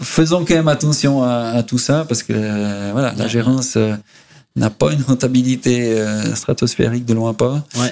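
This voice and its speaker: At a moderate pace, a man talks at medium pitch with a dark, mellow tone and ordinary pitch variation. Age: 50s. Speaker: real estate company CEO. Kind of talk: interview.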